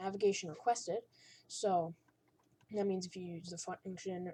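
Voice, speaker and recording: This woman has a medium-pitched voice with a dark, mellow tone. Her delivery is somewhat breathy. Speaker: coding tutorial maker. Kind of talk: tutorial. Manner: halting.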